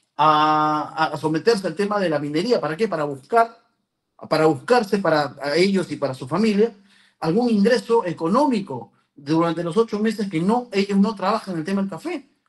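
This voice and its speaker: Pitched high, a man talks with lively intonation. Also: moderate pace. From Peru, San Ignacio province, Cajamarca. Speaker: political candidate and lawyer. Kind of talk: interview. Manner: halting.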